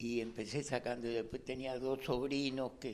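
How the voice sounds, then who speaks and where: A man talks at a fairly slow pace in a medium pitch, his intonation monotone and flat. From Uruguay, Montevideo. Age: 80s+. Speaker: photographer and industrial property agent. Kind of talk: interview testimony. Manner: halting, with fillers.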